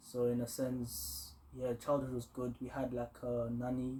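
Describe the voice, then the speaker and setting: Somewhat breathy with a dark, mellow tone, a man talks at a fairly slow pace with fairly even intonation. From Kenya (Eldoret) until age 10-11, then London. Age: 20s. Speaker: aerospace engineer, recent graduate. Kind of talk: interview.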